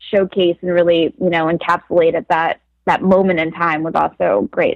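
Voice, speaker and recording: A woman's normal speaking voice at medium pitch and moderate pace, dry and close with no echo. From Philadelphia, US. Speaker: actress. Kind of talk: interview.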